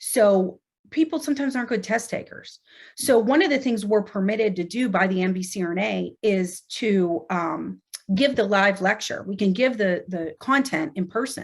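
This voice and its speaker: With an American accent, a woman speaks in a somewhat breathy voice of medium pitch, using lively intonation. The recording is very clean, with a silent background. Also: moderate pace. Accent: Pittsburgh accent, per others. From Pittsburgh, US. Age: 40s. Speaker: nurse anesthetist and educator. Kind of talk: podcast interview. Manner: conversational, filler words.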